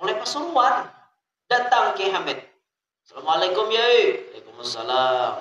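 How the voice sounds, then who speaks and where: A man with a South Kalimantan accent, very slow pace and very wide pitch swings. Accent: Banjar, Kalua dialect. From South Kalimantan, Indonesia. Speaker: Islamic cleric, preacher. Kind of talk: religious sermon.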